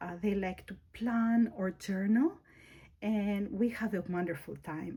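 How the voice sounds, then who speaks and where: A woman's somewhat breathy voice with a Greek accent, dark and mellow in tone, at a very slow pace. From Greece. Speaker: planner YouTuber. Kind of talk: casual tutorial. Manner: halting, with fillers and self-corrections.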